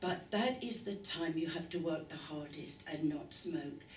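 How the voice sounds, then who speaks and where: Noticeable background noise and audible room echo fill the recording. Over them, a woman talks at a fairly slow pace. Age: 70s. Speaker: former smoker giving testimonial. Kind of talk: testimony.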